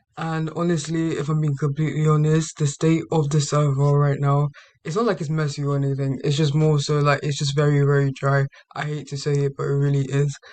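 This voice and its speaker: A somewhat breathy, fairly high-pitched man's voice, monotone and flat in intonation, at a fairly quick pace. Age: young. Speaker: gaming YouTuber. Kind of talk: casual talk to camera.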